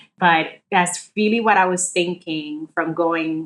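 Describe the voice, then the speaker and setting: A woman in a Spanish accent, fairly low in pitch, at a fairly slow pace with ordinary pitch variation. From Dominican Republic, moved to the Bronx at 10-11. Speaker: state official, former prosecutor. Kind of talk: interview.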